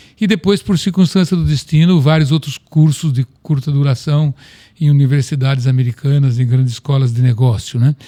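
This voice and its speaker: A man with a fairly high, somewhat breathy voice talks at a moderate pace with ordinary pitch variation and very even loudness. The sound is dry and close, with no echo. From Brazil, Piracicaba (São Paulo state). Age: 70s. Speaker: company president, agronomist. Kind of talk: interview.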